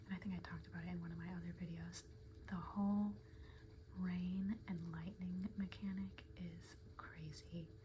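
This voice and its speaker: The speaker is soft-spoken. There is noticeable background noise. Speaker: ASMR gaming creator. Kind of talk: soft-spoken ASMR gameplay rambling.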